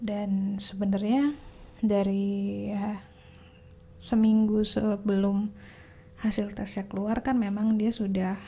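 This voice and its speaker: Somewhat breathy and at a medium pitch, a woman talks at a very slow pace in a monotone, flat intonation with long, frequent pauses. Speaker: tarot reader vlogger. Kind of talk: casual personal vlog. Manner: low-energy.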